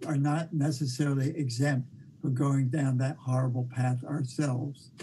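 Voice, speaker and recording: A man speaks at a fairly slow pace with a fairly high pitch. His voice is somewhat breathy, with monotone, flat intonation. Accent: American. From US, New York City. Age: 70s. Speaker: documentary filmmaker. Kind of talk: interview. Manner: halting.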